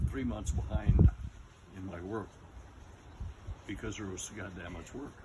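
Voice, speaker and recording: Noticeable background noise behind a man with a very deep, low pitch. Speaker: retired real estate appraiser. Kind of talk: interview answer. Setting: outdoors.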